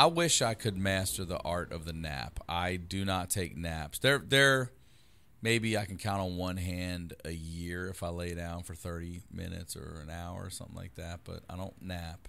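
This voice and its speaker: Speaking at a moderate pace in an American accent, a man with a very deep, low voice and a bright, sharp tone uses ordinary pitch variation on a very clean recording with a silent background. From Baltimore, Maryland. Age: 40s. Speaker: comedian. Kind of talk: casual chat.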